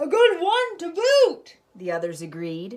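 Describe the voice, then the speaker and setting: A woman shouts in a put-on character voice. Her pace is fairly slow. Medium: read story. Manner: shouting in unison.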